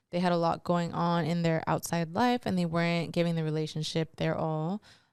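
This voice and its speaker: A woman with a plain, everyday voice speaks at a fairly quick pace and a fairly low pitch, her intonation fairly even and her loudness very even, in a very clean recording with a silent background. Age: 30s. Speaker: podcast host. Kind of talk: casual podcast monologue giving relationship advice. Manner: casual, filler-heavy.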